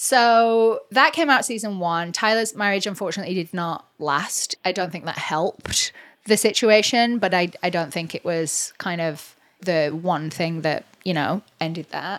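A woman speaks with an English accent at a medium pitch. Her pace is fairly slow. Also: ordinary pitch variation. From England. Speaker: realtor and reality TV cast member. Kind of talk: casual interview chat.

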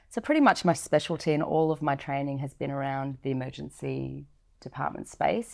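In a very clean recording with a silent background, a woman with an Australian accent talks at a fairly quick pace in a very deep, low pitch. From Northern Territory, Australia. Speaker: nurse and paramedic. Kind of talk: interview. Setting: studio.

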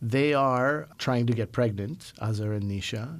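In a Canadian accent, a man with a plain, everyday voice speaks at medium pitch and a moderate pace on a very clean recording with a silent background. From Montreal, Quebec, Canada. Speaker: radio host. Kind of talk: interview. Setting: studio.

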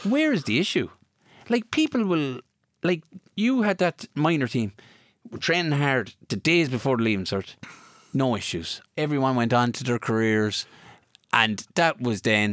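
In a Kilkenny Irish accent, a man of medium pitch talks at a moderate pace with very wide pitch swings and long, frequent pauses, on a very clean recording with a silent background. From Ireland, County Kilkenny. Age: 30s. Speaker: former hurler. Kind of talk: casual interview. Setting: studio.

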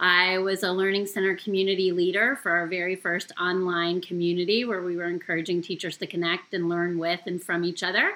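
Over noticeable background noise, a woman with a fairly low pitch talks at a fairly quick pace with hardly any pauses and a monotone, flat intonation. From Canada. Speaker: former teacher, education community organizer. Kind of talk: podcast interview.

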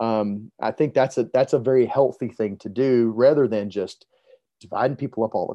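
In an American accent, a man with a plain, everyday voice speaks at medium pitch and a moderate pace, his intonation fairly even. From US South, Montgomery, Alabama. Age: 40s. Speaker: preacher. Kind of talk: podcast interview.

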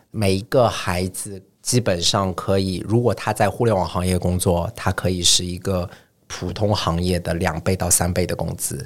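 With fairly even intonation, a man talks at a moderate pace in a very deep, low pitch. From China, Shanghai. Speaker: startup founder. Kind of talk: podcast interview.

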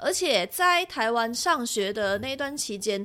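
A woman with a bright, sharp tone, fairly high pitch and lively intonation, in a very clean recording with a silent background. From Malaysia. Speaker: radio producer and podcaster. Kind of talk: casual chat. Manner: radio-announcer style delivery.

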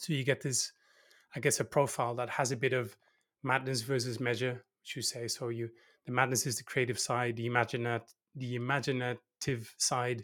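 On a very clean recording with a silent background, a man with a Dutch accent speaks at a moderate pace in a medium pitch with monotone, flat intonation. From Netherlands. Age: 40s. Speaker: innovation consultant. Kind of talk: casual chat.

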